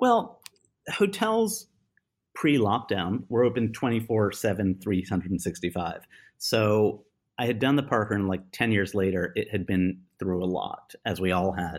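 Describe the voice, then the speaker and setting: In a very clean recording with a silent background, a man with a plain, everyday voice speaks at a fairly slow pace, his fairly low pitch showing ordinary variation. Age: 50s. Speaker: potter and designer. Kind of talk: casual chat.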